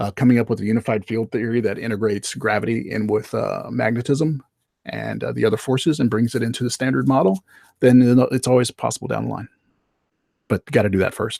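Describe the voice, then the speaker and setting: With vocal fry and a medium pitch, a man talks at a very fast pace with ordinary pitch variation in a dry, close sound with no echo. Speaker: livestream host answering viewer questions. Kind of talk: live Q&A stream. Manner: halting, many fillers.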